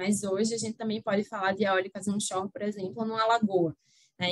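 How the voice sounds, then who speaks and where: This woman's voice has a fairly high pitch. She speaks at a moderate pace. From Brazil, Recife (Pernambuco). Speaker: energy lawyer. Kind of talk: podcast interview.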